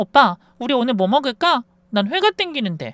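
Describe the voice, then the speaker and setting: In a put-on character voice, the speaker sounds whiny and nasal, with very wide pitch swings at a fairly quick pace. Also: female-sounding voice, high pitch for a woman. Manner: coquettish, whining.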